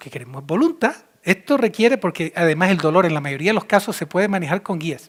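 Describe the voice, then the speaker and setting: Speaking at a very fast pace, a man with a high voice sounds animated, his intonation lively and his loudness swinging widely. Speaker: physician and speaker. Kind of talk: conference talk.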